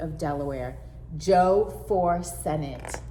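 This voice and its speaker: A woman speaks at a very slow pace while noticeable background noise carries on. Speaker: school librarian. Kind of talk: children's story read-aloud.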